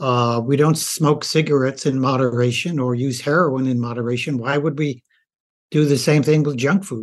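An unremarkable speaking voice from a man at medium pitch, moderate pace and fairly even intonation, against a quiet background. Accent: American. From rural US. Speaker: doctor and author. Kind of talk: interview.

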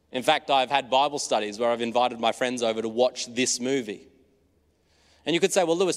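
Fast as can be, a man with an Australian accent talks at medium pitch. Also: very clean recording, silent background. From rural Australia (New South Wales). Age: 20s. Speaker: preacher. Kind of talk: sermon.

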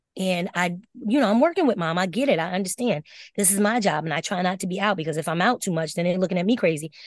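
A woman with an American accent speaks at a very fast pace in an animated tone. Her pitch variation is ordinary, and the background is quiet. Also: medium pitch for a woman. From Springfield, Massachusetts. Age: 50s. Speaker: teacher and scholarship coach. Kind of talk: casual chat.

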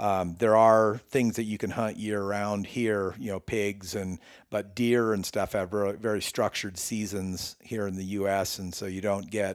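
A man's fairly low monotone, flat in intonation and moderate in pace, on a very clean recording with a silent background. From Northern California. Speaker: bowyer. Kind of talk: casual interview. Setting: in person, his workshop.

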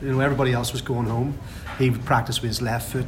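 A voice with a Northern Irish accent comes through audible room echo and noticeable background noise. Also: man. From Northern Ireland. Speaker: football fan, supporters club member. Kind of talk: casual chat. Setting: pub before a match.

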